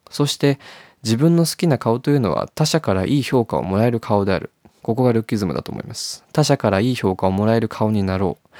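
On a very clean recording with a silent background, a man talks very fast at medium pitch, his dark, mellow tone sounding dry and close with no echo and his intonation lively. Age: 20s. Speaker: podcast host. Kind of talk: reading aloud own diary.

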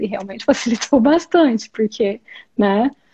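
A woman with a high pitch talks with lively intonation, keeping a moderate pace. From Brazil, interior of Goiás. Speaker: speech therapist and immigrant. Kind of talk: interview. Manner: hesitant, many fillers.

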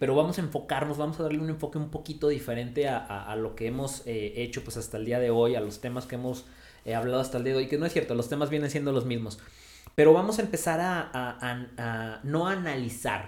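Audible room echo surrounds a man with a Mexican accent. He speaks at a very fast pace and medium pitch, with ordinary pitch variation. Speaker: podcast host. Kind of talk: casual chat. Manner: casual, slangy.

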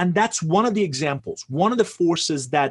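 A man's fairly high voice at a fairly slow pace, with very wide pitch swings, over a quiet background. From Iran. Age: 50s. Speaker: author and business consultant. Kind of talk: interview.

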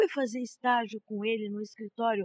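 At a moderate pace, a woman with an unremarkable speaking voice and a fairly high pitch speaks with fairly even intonation, the sound dry and close with no echo. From Brazil, São Carlos, São Paulo state. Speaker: law professor. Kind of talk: interview. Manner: formal.

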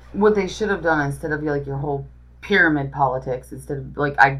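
A woman's very deep, low voice with vocal fry, at a very fast pace. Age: 50s. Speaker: podcast co-host. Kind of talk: casual chat. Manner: animated.

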